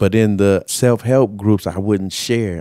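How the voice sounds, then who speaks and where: Dark and mellow in tone, a man speaks at a moderate pace with ordinary pitch variation. The recording is very clean, dry and close, with a silent background and no echo. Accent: American. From Southern California, Carson. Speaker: formerly homeless person. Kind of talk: personal testimony.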